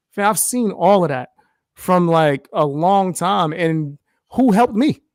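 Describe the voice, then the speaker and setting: Lively intonation in a New York accent at a fairly slow pace, with a dry, close sound and no echo. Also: man, high pitch for a man. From US Northeast, New York (the Bronx). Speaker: content creator, live streamer. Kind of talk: casual interview chat. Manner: animated.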